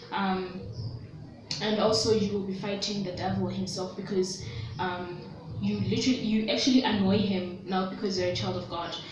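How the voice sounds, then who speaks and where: There is noticeable background noise and audible room echo. A woman at medium pitch speaks at a moderate pace with fairly even intonation. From South Africa. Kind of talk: religious teaching vlog. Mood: earnest, gentle. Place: home room. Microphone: phone near.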